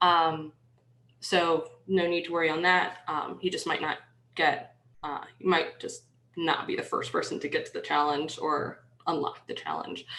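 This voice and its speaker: With a slight New York accent, a woman speaks at a moderate pace. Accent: slight New York accent, shows on some words. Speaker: penetration tester, conference workshop speaker. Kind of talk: workshop presentation. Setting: online video conference with screen share. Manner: dry, slightly sarcastic; hesitant, many fillers.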